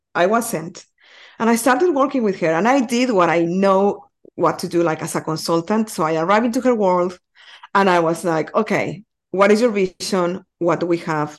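A woman in a Spanish accent speaks at a medium pitch and a moderate pace with lively intonation against a quiet background. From Mexico. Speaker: community building consultant. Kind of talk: podcast interview. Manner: animated.

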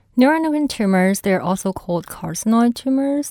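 A woman's voice with very wide pitch swings, on a very clean recording with a silent background. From China. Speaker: medical oncologist. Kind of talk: interview.

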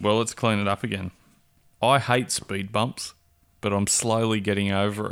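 With an Australian accent, a man talks at a moderate pace in a fairly low pitch, his intonation monotone and flat. Long, frequent pauses break up his speech on a very clean recording with a silent background. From Perth, Australia. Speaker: co-host. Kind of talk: casual comedic banter.

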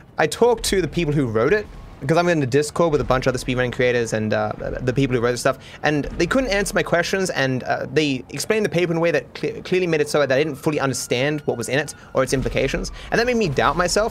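This man talks at a very fast pace. He has an Australian accent. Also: fairly high pitch for a man, lively intonation. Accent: cultivated Australian, soft R's. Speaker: gaming YouTuber. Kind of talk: casual chat, podcast. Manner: rambling, hesitant, filler words.

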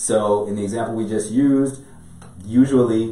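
Room echo is audible around a man's voice. He speaks at a moderate pace with an American accent. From Chicago. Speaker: business and real estate attorney. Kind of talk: podcast interview. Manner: talkative.

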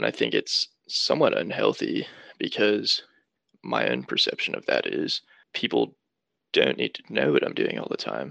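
Speaking at a moderate pace with an American accent, a man leaves long, frequent pauses, and the sound is dry and close with no echo. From North Carolina, Charlotte area. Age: 20s. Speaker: camp counselor. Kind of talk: interview.

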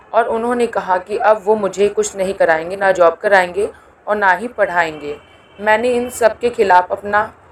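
Noticeable background noise accompanies a woman speaking at medium pitch with ordinary pitch variation. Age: 20s. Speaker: community podcast host. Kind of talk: personal testimony.

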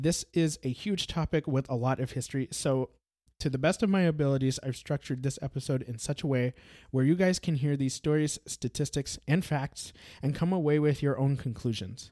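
At a fairly quick pace, a man with a dark, mellow tone speaks at a fairly high pitch with ordinary pitch variation, in a very clean, dry, close recording with a silent background and no echo. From Brazil. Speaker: podcast host. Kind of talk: scripted narration.

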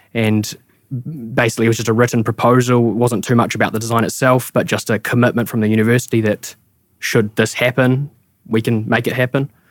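A man's medium-pitched voice with a New Zealand accent, fairly quick and monotone with flat intonation, very even in loudness, in a dry, close sound with no echo. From Taranaki, New Zealand. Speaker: architect, studio co-founder. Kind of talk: casual interview conversation.

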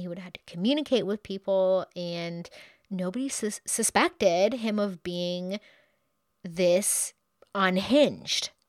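A woman speaks at a fairly slow pace in an animated tone, with a medium pitch, ordinary pitch variation and big swings in loudness. The sound is dry and close with no echo, on a very clean recording with a silent background. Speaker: true crime podcast host. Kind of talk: true-crime horror narration, scripted and read aloud in grisly detail. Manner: grim, dramatic, steady storytelling pace; animated and chatty in casual asides.

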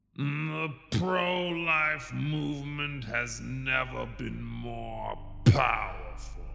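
Over clear background noise, a man speaks at a very slow pace. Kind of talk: rally speech, dramatic proclamation. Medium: comedy sketch. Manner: booming, then pedantic.

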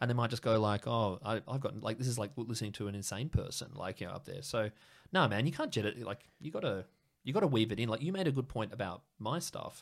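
A man with an Australian accent, medium pitch, lively intonation, and a very fast pace. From Sydney, Australia. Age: 30s. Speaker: English teacher, comedian guest. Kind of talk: casual chat, interview. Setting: home studio. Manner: chatty, rambling, filler-heavy.

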